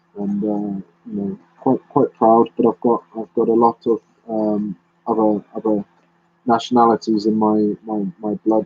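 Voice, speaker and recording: A man with a British accent speaks fairly slowly in a fairly low voice, his intonation flat and monotone. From London, England. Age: 30s. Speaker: YouTuber. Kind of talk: live stream chat. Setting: live stream. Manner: halting.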